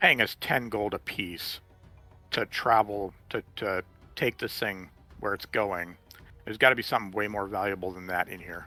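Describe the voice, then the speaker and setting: A raspy put-on character voice from a man, fairly low-pitched with fairly even intonation at a moderate pace, music in the background. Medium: actual play. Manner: casual, pushy.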